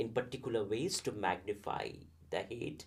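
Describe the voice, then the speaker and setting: Somewhat breathy, a man at a medium pitch talks with a Bengali accent. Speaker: professor. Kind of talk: interview conversation. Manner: halting, many fillers.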